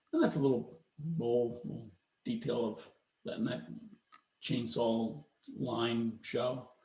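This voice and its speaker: A very slow, somewhat breathy man's voice with an American accent and long, frequent pauses. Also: medium pitch for a man, ordinary pitch variation. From US, Philadelphia suburbs. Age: 50s. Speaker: woodworker. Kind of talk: presentation talk. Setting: video call. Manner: halting, many fillers and restarts.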